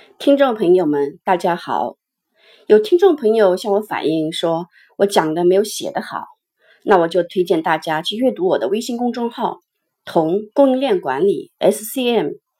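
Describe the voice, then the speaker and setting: A woman's dark, mellow, medium-pitched voice at a fairly slow pace, with very wide pitch swings and big swings in loudness, on a very clean recording with a silent background. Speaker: supply chain management educator. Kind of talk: lecture.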